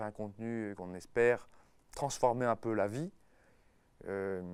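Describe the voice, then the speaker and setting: On a very clean recording with a silent background, a man speaks with a fairly low pitch and fairly even intonation. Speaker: university lecturer. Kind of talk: casual talk to teachers. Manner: hesitant, many fillers.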